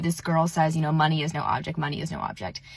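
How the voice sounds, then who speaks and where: Somewhat breathy and animated in tone, a woman speaks with a fairly low pitch. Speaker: manifestation coach. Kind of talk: social media monologue. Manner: casual, animated.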